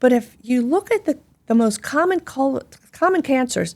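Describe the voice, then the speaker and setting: In a Philadelphia accent, a woman with a high pitch speaks at a moderate pace with very wide pitch swings, on a very clean recording with a silent background. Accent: Philadelphia American English. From US Northeast, Philadelphia. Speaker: gastroenterologist. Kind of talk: interview conversation. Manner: animated.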